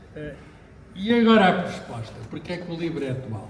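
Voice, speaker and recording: Speaking in a European Portuguese accent at a high pitch and a moderate pace, a man is heard with audible room echo and noticeable background noise. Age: 60s. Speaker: physicist. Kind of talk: book launch talk. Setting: bookshop with audience. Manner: hesitant, with fillers.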